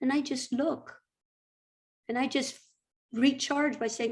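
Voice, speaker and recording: A woman speaks at a very slow pace. Her high-pitched voice carries lively intonation. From Brazil. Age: 60s. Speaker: retired teacher and therapist. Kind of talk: interview conversation. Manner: halting.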